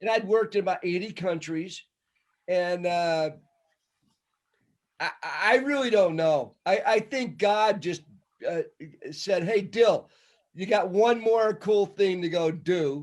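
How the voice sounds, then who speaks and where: In a very clean recording with a silent background, a man with a high pitch talks at a very slow pace with long, frequent pauses and ordinary pitch variation. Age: 70s. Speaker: event organizer. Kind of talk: casual chat.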